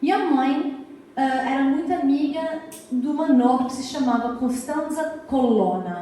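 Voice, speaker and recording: A woman with a European Portuguese accent talks at a moderate pace, her high voice full of lively intonation. Room echo is audible, and there is noticeable background noise. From US, Massachusetts (Azorean parents). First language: English (speaking Portuguese). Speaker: art historian and author. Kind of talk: lecture. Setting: lecture hall with audience. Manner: hesitant, frequent fillers.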